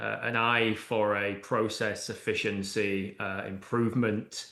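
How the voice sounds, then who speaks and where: A man with a British accent speaks at a fairly slow pace in a fairly low, flat monotone, his bright, sharp tone edged with vocal fry amid audible room echo. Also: hardly any pauses. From UK. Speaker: AI and automation consultant. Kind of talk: interview podcast. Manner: hesitant, many fillers.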